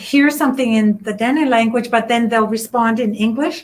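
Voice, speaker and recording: A woman's fairly high voice with fairly even intonation, a normal speaking voice. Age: 60s. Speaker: literacy project organizer. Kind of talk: interview.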